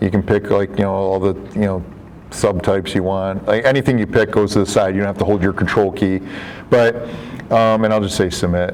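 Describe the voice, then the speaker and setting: Music plays in the background as a man speaks at a fairly quick pace. His fairly low voice stays flat and monotone. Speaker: software developer and trainer, former real estate broker. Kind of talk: software training presentation. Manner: fast; filler-heavy, many repetitions.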